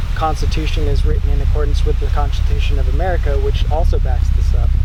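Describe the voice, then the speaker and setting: Speaking very fast in a very deep, low voice, a man keeps a flat, monotone delivery at very even loudness, with audible room echo and noticeable background noise. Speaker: sovereign-citizen law researcher. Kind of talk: casual conversation.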